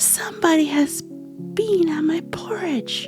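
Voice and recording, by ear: A gruff, put-on character voice at a moderate pace, with clear music playing in the background.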